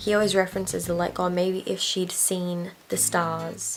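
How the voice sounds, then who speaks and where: Noticeable background noise sits behind a woman's quiet voice. She talks at a moderate pace. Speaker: book vlogger. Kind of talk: casual book vlog chat. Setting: on her bed at home. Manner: quiet, late-night talk.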